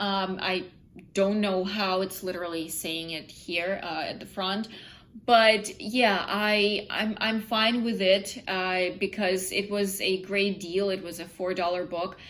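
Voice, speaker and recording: A woman with a non-native accent speaks very slowly at a medium pitch, her intonation flat and monotone. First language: not English. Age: 20s. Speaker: book vlogger. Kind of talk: casual vlog. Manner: halting, many fillers.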